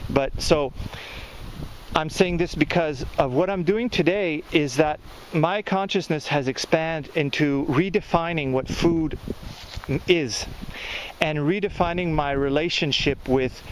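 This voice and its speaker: A man with a Quebec accent speaks at a fairly slow pace, his fairly high pitch showing ordinary variation. Long, frequent pauses and noticeable background noise mark the clip. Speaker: gardening and spirituality vlogger. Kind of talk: casual video monologue.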